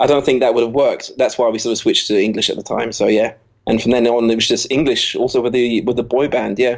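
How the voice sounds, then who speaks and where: A man with an English accent talks very fast at a medium pitch with fairly even intonation. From Jersey (Channel Islands). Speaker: DJ and music producer. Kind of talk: interview. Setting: Skype call.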